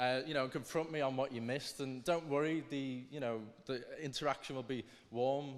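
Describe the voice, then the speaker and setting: With a Liverpool accent, a man speaks at a medium pitch in a monotone, flat intonation. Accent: Scouse. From northern England, Liverpool. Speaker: student debate speaker. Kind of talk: formal debate speech. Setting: stage with audience. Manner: halting.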